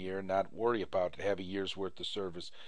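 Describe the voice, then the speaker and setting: Audible room echo surrounds a man's fairly low voice, delivered with monotone, flat intonation. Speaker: credit repair instructor. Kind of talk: tutorial.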